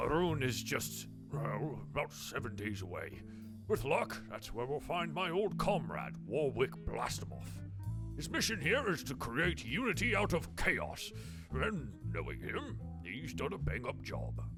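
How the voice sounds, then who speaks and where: Put-on character voice at a fairly slow pace, with loud music behind it. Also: man. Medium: actual play. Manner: gruff, commanding.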